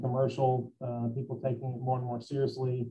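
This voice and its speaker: A man speaks at a moderate pace in a Tennessee accent, his medium-pitched voice somewhat breathy with a dark, mellow tone. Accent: Southern US (Tennessee). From US South (Memphis, Tennessee). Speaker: construction company executive. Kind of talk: interview. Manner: halting.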